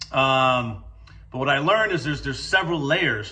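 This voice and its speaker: Speaking at a fairly quick pace, a man sounds energetic, with a bright, sharp tone, a medium pitch and ordinary pitch variation. Audible room echo surrounds his voice. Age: 40s. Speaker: construction company owner. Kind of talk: career talk to students. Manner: casual, energetic with frequent fillers.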